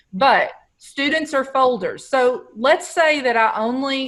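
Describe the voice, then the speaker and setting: This woman has a high pitch and an American accent. The background is quiet. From Texas. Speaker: educational technology trainer; teacher presenting to colleagues. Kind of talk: webinar tutorial. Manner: casual, conversational. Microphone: video call.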